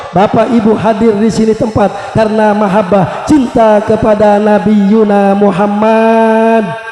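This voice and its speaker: Over music in the background, a man with a high pitch talks at a fairly slow pace with hardly any pauses, very even loudness and monotone, flat intonation. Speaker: Islamic preacher. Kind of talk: religious sermon to live audience. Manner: humorous.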